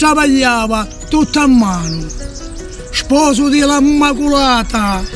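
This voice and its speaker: A man speaks at an extremely high pitch with a Sicilian accent, his pitch varying in an ordinary way. His pace is very slow, with music playing in the background. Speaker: dialect poet. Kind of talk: poetry reading.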